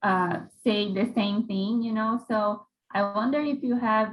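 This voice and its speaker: Her delivery is monotone and flat in intonation, and the woman keeps to a fairly slow pace. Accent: Portuguese. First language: Portuguese. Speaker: international graduate student. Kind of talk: question in workshop. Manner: halting.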